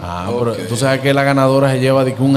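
A man speaks at a medium pitch and a fairly quick pace. The room echo is audible, and background noise is noticeable. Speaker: TV and radio show host. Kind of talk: live broadcast giveaway with phone calls. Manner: animated.

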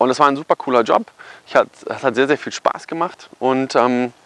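With noticeable background noise, a man of medium pitch speaks at a moderate pace with ordinary pitch variation. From Germany, Kassel area (northern Hesse). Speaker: photographer and marketing YouTuber. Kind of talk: casual personal story vlog. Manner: casual, filler-heavy.

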